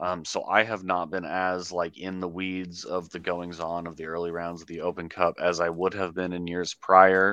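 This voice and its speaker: Against a quiet background, a man speaks fairly slowly with a very deep, low pitch and a bright, sharp tone. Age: 20s. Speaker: sports podcast host. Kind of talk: casual chat.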